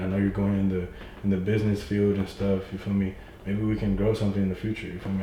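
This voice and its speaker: Amid noticeable background noise and audible room echo, a man talks at a very fast pace in a fairly low pitch. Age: young. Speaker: young entrepreneur. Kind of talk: casual chat. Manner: animated.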